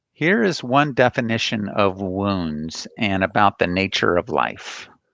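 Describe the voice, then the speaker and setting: With an American accent and a plain, everyday voice, a man speaks fairly slowly at a fairly low pitch, his intonation lively and his loudness very even. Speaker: counseling professor. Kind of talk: lecture.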